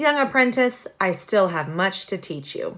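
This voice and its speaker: A put-on character voice, female-sounding and raspy, speaks at a middle pitch and moderate pace. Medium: read story. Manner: measured, soft-spoken.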